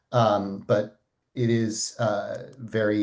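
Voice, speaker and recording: A man with an American accent, medium in pitch, with a dark, mellow tone. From United States. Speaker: audience member asking questions, philosopher. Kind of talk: Q&A question at online event.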